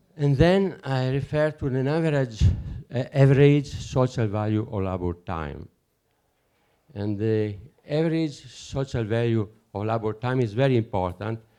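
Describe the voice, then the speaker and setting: A man speaks with an Italian accent in a dark, mellow tone at medium pitch. His intonation is lively, his pace moderate, and the background quiet. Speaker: conference speaker, alternative currency researcher. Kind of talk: conference talk. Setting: conference with audience. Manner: halting, hesitant non-native English.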